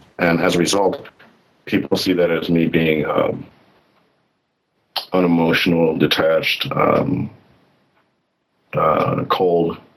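Very slow delivery with long, frequent pauses and very even loudness. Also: man, very deep, low pitch for a man, ordinary pitch variation. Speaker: caller. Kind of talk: call-in conversation.

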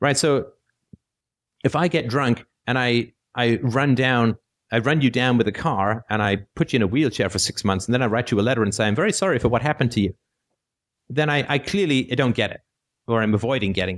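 A man talks at a fairly quick pace with long, frequent pauses. His voice sits at a medium pitch with ordinary pitch variation. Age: 40s. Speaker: philosophy call-in show host. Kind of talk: call-in show talk. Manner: hesitant with many fillers.

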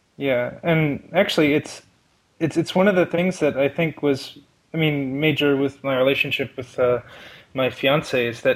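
His pitch is fairly high for a man. He uses a normal speaking voice and keeps a moderate pace. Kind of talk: personal conversation about therapy. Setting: voice call.

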